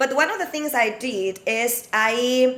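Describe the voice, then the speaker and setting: A woman speaks at a high pitch in a bright, sharp tone. Her pitch variation is ordinary. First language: not English. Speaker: aquatic fitness instructor, panelist. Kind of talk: webinar panel discussion. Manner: halting.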